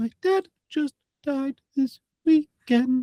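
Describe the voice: A female-sounding voice with a high pitch. It is a put-on character voice.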